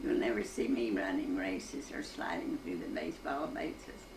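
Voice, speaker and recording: A woman with an Appalachian accent at a fairly slow pace, amid noticeable background noise. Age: 80s+. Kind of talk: poetry reading.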